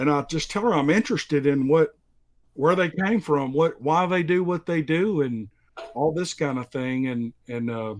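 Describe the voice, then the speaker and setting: Speaking in a strong Southern US accent, a man uses a fairly high pitch and lively intonation at a moderate pace. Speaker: story narrator. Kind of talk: casual interview.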